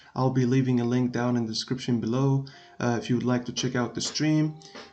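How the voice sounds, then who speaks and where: Speaking in a monotone, flat intonation, a man with a non-native accent holds a medium pitch. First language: not English. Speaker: gaming streamer. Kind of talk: tutorial. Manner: hesitant, many filler sounds. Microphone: laptop recording, not the best quality.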